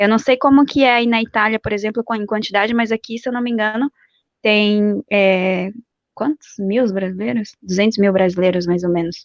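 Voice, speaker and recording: A woman speaks at a moderate pace in a fairly high pitch with ordinary pitch variation, an unremarkable speaking voice. The sound is dry and close, with no echo. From Brazil. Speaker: exchange program consultant living abroad. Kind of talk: interview.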